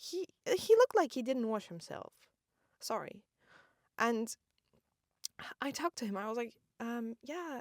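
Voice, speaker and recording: In a dry, close recording with no echo, a woman speaks fairly slowly at a high pitch, with lively intonation, big swings in loudness and long, frequent pauses. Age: 20s. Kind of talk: casual storytelling podcast. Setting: inside parked car.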